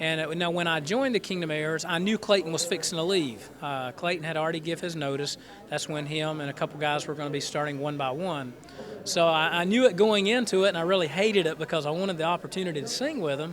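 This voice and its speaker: The speaker goes at a very fast pace with a Southern US accent and ordinary pitch variation, over noticeable background noise. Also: man, high pitch for a man. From North Carolina, Goldsboro. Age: 30s. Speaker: gospel quartet tenor singer. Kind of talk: radio interview. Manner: halting.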